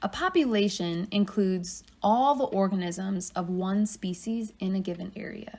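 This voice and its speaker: A woman talks at medium pitch and a moderate pace, with hardly any pauses and fairly even intonation. Noticeable background noise runs underneath. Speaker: college biology teacher. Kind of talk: lecture.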